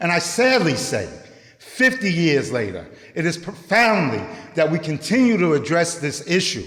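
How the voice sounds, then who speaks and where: With very wide pitch swings, a high-voiced man speaks at a moderate pace amid noticeable background noise and audible room echo. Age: 60s. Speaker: youth program director. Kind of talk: public speech.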